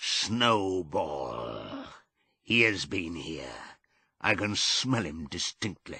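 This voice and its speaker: A man puts on a booming character voice with a very deep, low pitch. He speaks at a very slow pace against a quiet background. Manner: terrible, booming.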